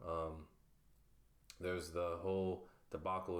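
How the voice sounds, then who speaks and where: The speaker uses fairly even intonation with an American accent. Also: man. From South Florida (Pahokee). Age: 20s. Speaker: self-published writer. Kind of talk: interview, casual. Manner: hesitant, many fillers.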